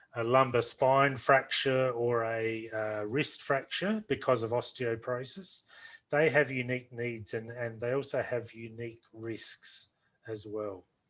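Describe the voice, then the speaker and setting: Speaking at a fairly slow pace with fairly even intonation, a man talks in a strong Australian accent. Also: medium pitch for a man. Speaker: orthopaedic nursing lecturer. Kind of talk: online lecture. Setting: video call. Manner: slow, deliberate.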